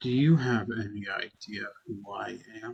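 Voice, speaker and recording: Moderate pace and medium pitch in a man's put-on character voice. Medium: actual play. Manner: slow, eerie.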